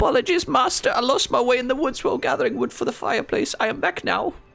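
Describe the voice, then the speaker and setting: A man puts on a squeaky character voice with an extremely high pitch. He races along at a very fast pace over light background noise. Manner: servile, apologetic.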